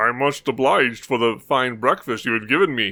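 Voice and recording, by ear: Using a put-on character voice, a man speaks at medium pitch and a moderate pace with a rumbling sound.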